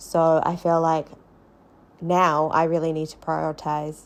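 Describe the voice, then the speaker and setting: In a very clean recording with a silent background, a woman speaks with a New Zealand accent at a fairly low pitch. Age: adult. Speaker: podcast host, early childhood teacher. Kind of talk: personal storytelling podcast monologue.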